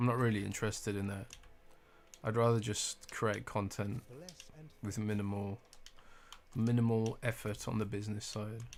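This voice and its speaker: Soft-spoken and in a British accent, a man talks at a moderate pace with a fairly low pitch, monotone, flat intonation, and long, frequent pauses. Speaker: gaming streamer. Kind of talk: casual live stream chat. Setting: home live stream at night.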